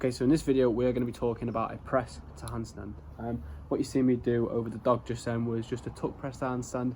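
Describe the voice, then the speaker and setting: Very fast speech comes from a man at a medium pitch, somewhat breathy. His pitch varies in an ordinary way. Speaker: handstand coach. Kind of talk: tutorial. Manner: energetic.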